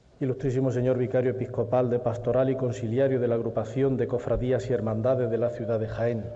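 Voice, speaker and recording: Against noticeable background noise, a man talks at a very fast pace with hardly any pauses, his medium-pitched voice monotone and flat and his loudness very even. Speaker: presenter of the herald. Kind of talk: formal speech introducing the herald, solemn oratory. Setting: stage with audience in theatre. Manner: formal, solemn.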